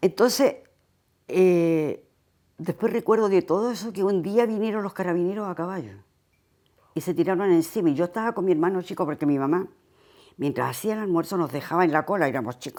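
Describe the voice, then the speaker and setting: A woman speaks at a fairly quick pace in a fairly low pitch with ordinary pitch variation and a dark, mellow tone, on a very clean recording with a silent background. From Chile, Santiago (Independencia/Conchalí). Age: 80s+. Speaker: dictatorship survivor giving testimony. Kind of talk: oral history testimony interview. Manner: halting, with false starts.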